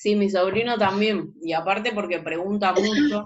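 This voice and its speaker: Over audible room echo, a woman speaks at a moderate pace with a medium pitch and ordinary pitch variation. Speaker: teacher. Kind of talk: lecture.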